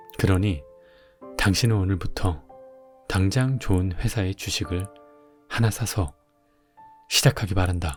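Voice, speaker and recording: A man's very deep, low voice in a calm, soothing tone, fairly slow with long, frequent pauses and ordinary pitch variation, over music in the background. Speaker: audiobook narrator. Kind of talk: audiobook reading.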